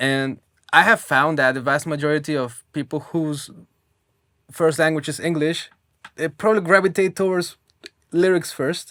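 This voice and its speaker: Someone with a non-native accent speaks at a moderate pace, leaving long, frequent pauses. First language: not English. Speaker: interview show host. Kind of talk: interview.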